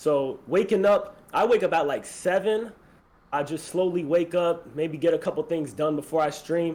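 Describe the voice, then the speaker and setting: Speaking with an American accent, a man keeps a moderate pace and lively intonation. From Florida. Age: 20s. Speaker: streamer. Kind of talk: casual chat.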